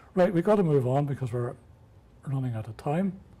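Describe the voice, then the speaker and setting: Somewhat breathy, with a dark, mellow tone, the speaker talks at a fairly quick pace in an Irish accent. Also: man. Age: 70s. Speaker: amateur radio presenter. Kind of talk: workshop talk.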